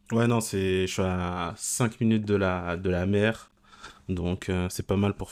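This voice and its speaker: In a very clean recording with a silent background, a man with a very deep, low pitch speaks at a fairly slow pace in a flat monotone. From Paris region, Sarcelles. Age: 20s. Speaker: e-commerce entrepreneur and coach. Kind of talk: podcast interview. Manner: hesitant, many fillers.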